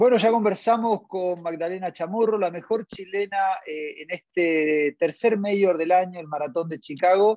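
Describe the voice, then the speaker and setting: Pitched high, a man speaks in a dark, mellow tone. The sound is dry with no echo. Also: quiet background. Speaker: interview host. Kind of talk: interview host introduction. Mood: friendly, upbeat. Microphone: earbuds.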